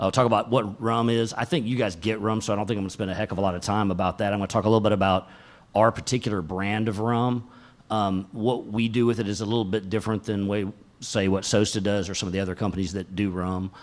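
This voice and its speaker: Very fast speech from a man with a Southern US accent, fairly low in pitch and fairly even in intonation, on a very clean recording with a silent background. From US South, Atlanta, Georgia. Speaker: tech company executive, conference speaker. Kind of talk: tech talk. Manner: casual, many fillers.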